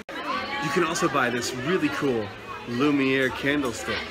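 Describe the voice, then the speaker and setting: A man at a fairly slow pace, ordinary pitch variation, clear music in the background. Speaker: vlogger. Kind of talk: casual vlog chat. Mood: playful, joking. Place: shop. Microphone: phone near.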